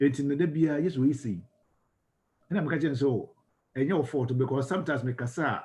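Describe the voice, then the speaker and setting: In a Ghanaian accent, a somewhat breathy speaker with a dark, mellow tone talks at a fairly quick pace with long, frequent pauses, recorded very cleanly over a silent background. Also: man. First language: Twi. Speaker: ministry school lecturer. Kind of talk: lecture. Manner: fast.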